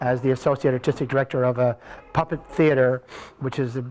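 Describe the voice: The man's voice has a slightly mellow tone.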